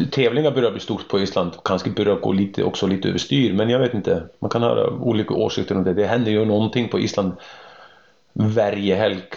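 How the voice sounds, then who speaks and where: A man with an unremarkable speaking voice talks at a fairly quick pace and a fairly low pitch, with ordinary pitch variation and very even loudness. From Iceland. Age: 40s. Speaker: horse trainer. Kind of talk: interview.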